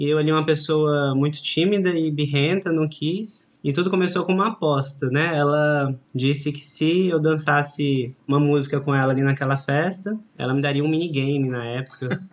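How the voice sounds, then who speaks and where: A man's unremarkable speaking voice, fairly high in pitch, at a moderate pace with fairly even intonation. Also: hardly any pauses. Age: 30s. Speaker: ballroom dance teacher. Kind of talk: casual interview.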